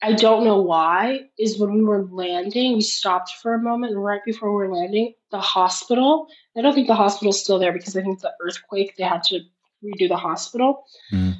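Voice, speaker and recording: A plain, everyday voice from a woman, medium in pitch, fairly quick, with ordinary pitch variation. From Florida, US, Haitian family. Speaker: playwright. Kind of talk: interview conversation.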